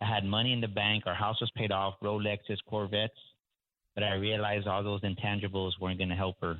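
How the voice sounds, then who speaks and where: A man's fairly low voice at a very fast pace. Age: 40s. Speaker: executive coach. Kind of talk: interview. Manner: energetic.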